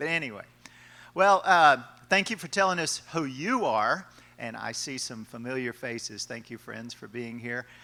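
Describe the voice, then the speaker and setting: Lively intonation and a bright, sharp tone from a man at medium pitch, with big swings in loudness. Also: moderate pace. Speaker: college professor, panel moderator. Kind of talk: panel moderation at workshop.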